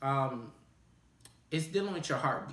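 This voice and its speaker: Noticeable background noise runs under a man's voice. He speaks at a fairly quick pace with ordinary pitch variation. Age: 20s. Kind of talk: casual talk to camera.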